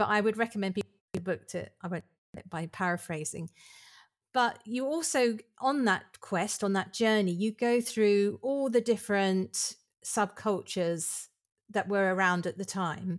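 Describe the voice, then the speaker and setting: Recorded very cleanly against a silent background, a woman talks at a moderate pace. She has a normal speaking voice, medium in pitch, with ordinary pitch variation. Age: 50s. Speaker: podcast host. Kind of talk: interview.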